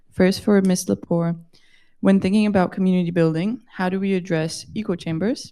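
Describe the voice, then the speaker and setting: With a dark, mellow tone, a woman of medium pitch speaks at a moderate pace with fairly even intonation. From Brazil. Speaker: audience member asking questions. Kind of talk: audience question.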